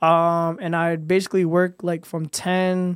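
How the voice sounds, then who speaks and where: The recording is very clean, with a silent background. A man speaks in a high pitch. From Providence, Rhode Island. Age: 20s. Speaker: viral dancer and mall security guard. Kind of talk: casual interview. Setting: studio.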